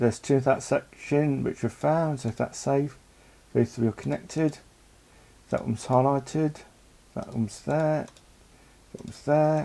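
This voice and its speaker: Moderate pace, with long, frequent pauses. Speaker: gaming streamer. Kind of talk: let's play commentary.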